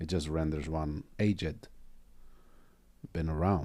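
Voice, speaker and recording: A man with a non-native accent speaks at a very slow pace in a dark, mellow tone. The recording is very clean, with a silent background. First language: not English. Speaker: Zen teacher and podcast host. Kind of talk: casual dharma talk in podcast.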